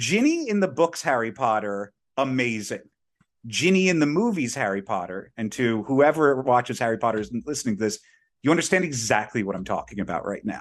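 A man talks in a plain, everyday voice at a medium pitch. His intonation is lively, and the background is quiet. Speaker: podcast co-host. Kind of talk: casual chat. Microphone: new professional mic on a stand.

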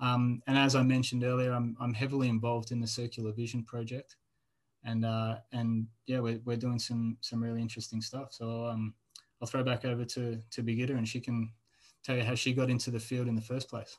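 With an Australian accent, a man speaks at a fairly quick pace in a medium pitch, his intonation monotone and flat. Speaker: postdoctoral researcher. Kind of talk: interview.

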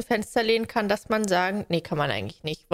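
On a very clean recording with a silent background, a woman speaks at a medium pitch with lively intonation. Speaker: podcast co-host, trained childcare worker. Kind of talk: casual chat. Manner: animated.

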